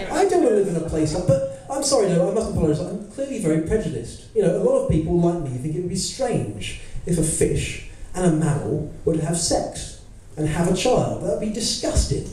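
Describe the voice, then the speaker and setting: With an English accent, a man talks fairly quickly in a high pitch with lively intonation, over noticeable background noise and audible room echo. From England. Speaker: stand-up comedian. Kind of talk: stand-up. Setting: stage with audience.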